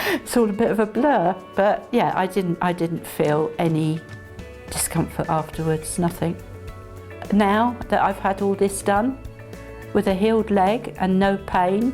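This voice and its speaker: Over background music, the speech goes at a fairly slow pace with long, frequent pauses, very even loudness and ordinary pitch variation. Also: woman, medium pitch for a woman. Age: 60s. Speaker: patient. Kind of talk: interview answer. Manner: hesitant, casual.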